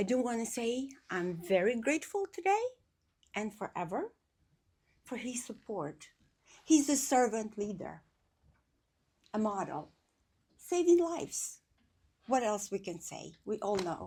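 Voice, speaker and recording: Speaking with an Albanian accent, a woman has a fairly high, somewhat breathy voice with very wide pitch swings and big swings in loudness. Her pace is fairly slow, broken by long, frequent pauses. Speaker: community speaker at a memorial event. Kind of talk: speech at a memorial gathering.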